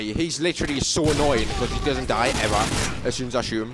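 A man with an English accent talks at a fairly quick pace. There is audible room echo and noticeable background noise. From England. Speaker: gaming YouTuber. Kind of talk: live gameplay commentary. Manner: animated.

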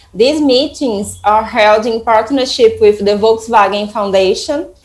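A woman speaks slowly-ish, at a fairly slow pace, in a Portuguese accent. Her pitch is fairly high with ordinary pitch variation. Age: 30s. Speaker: nonprofit project coordinator; presenter. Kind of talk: presentation. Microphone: earbuds.

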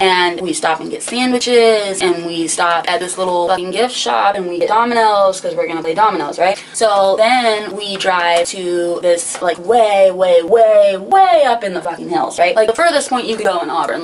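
Speech moves at a moderate pace with hardly any pauses and ordinary pitch variation. Light background noise is present. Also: woman. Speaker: vlogger. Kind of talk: casual storytime chat. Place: home room. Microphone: camera far.

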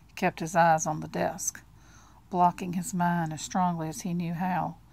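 On a very clean recording with a silent background, a woman with a fairly low pitch and a somewhat breathy voice speaks at a moderate pace with fairly even intonation. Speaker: audiobook narrator. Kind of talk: literary audiobook reading, with casual chatty asides before and after. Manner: conversational and friendly when she steps out of the text.

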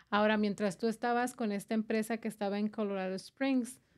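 A woman speaks with fairly even intonation. Behind her, the background is quiet. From Chihuahua, Mexico. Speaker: podcast host. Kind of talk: interview. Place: studio. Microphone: studio mic.

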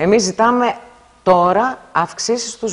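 A woman's voice with lively intonation. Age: 50s. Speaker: hospital workers' union representative. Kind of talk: interview. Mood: critical, indignant about staffing. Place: studio. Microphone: lapel.

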